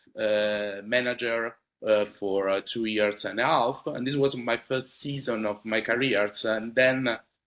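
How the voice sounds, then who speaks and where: With fairly even intonation, a man talks at a fairly slow pace. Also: medium pitch for a man. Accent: Italian. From Italy. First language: Italian. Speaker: supply chain manager. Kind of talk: interview. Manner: hesitant, many fillers.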